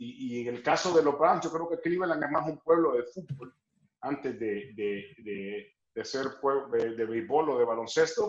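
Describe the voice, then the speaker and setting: A man with a normal speaking voice, fairly high in pitch, talks at a fairly slow pace. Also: lively intonation. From El Salvador. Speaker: sports broadcaster. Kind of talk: interview answer.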